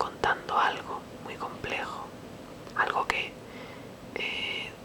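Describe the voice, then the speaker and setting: Whispering comes through with noticeable background noise around it. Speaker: ASMR creator. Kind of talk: ASMR whispered intro.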